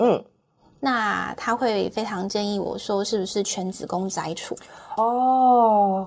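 Very slow speech in a Taiwanese accent with fairly even intonation, on a very clean recording with a silent background. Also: woman, medium pitch for a woman. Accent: Taiwanese Mandarin. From Taiwan, Taichung. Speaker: cancer patient sharing her story. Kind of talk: personal testimony in interview. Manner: halting, repeats words.

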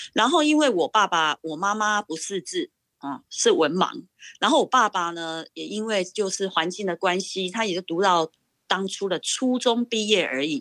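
A woman's medium-pitched voice with lively intonation at a moderate pace, in a dry, close sound with no echo. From Taiwan, Pingtung. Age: 50s. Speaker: educator and parent. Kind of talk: personal life story interview. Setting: video call.

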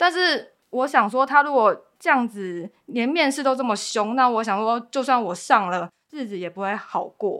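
A woman's voice sits high in pitch and has a bright, sharp tone. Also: lively intonation, moderate pace. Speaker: baking class instructor. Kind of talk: personal testimony in interview.

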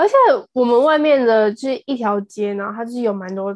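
Fairly high in pitch, a woman with a normal speaking voice talks at a fairly slow pace with ordinary pitch variation. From Taiwan, Taipei. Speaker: podcast co-host, university student. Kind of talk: casual chat. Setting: remote recording.

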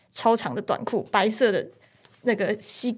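In a plain, everyday voice, a woman keeps her fairly high pitch at a fairly even intonation. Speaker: police officer. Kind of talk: casual chat.

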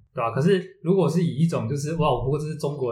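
Speaking at a very fast pace, a man shows ordinary pitch variation. Room echo is audible throughout. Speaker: podcast co-host. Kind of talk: casual chat.

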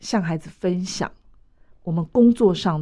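On a very clean recording with a silent background, the woman speaks in a dark, mellow tone. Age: 50s. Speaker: mental health association vice-chair. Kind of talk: radio interview.

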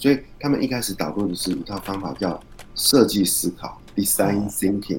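With an ordinary speaking voice, a man talks at a fairly low pitch with ordinary pitch variation. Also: moderate pace. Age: 40s. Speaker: author and podcaster. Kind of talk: interview.

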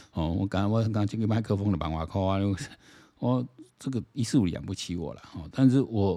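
Dark and mellow in tone, a man's fairly low voice moves at a fairly quick pace with ordinary pitch variation in a very clean recording with a silent background. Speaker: political commentary podcaster. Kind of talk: solo commentary monologue. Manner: casual, many fillers.

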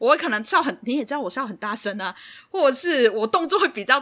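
A woman speaks in a high, bright and sharp voice at a fairly quick pace. Her tone is animated, with very wide pitch swings. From Hong Kong. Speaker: podcast co-host. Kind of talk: casual chat. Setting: remote recording. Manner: animated, laughs loudly.

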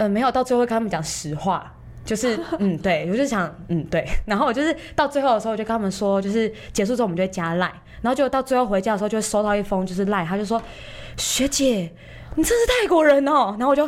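A woman's fairly high voice at a very fast pace, with lively intonation. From Taiwan. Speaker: podcast guest, friend of the host. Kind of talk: casual chat.

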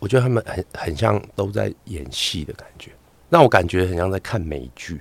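Speaking at a moderate pace, a man with a very deep, low pitch and vocal fry uses lively intonation and big swings in loudness. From Taiwan, Hakka. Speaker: doctor and content creator. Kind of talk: casual chat interview. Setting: studio with headphones.

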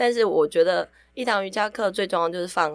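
Against a silent background on a very clean recording, a woman of medium pitch talks at a moderate pace with vocal fry and ordinary pitch variation. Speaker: yoga podcast host and yoga teacher. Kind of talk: casual chat. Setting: recording studio.

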